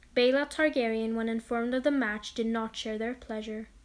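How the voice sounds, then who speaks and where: In a very clean recording with a silent background, a woman talks at a moderate pace and a fairly high pitch. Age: student. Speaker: lore video narrator. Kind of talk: narrated lore reading; casual outro chat. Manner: monotone.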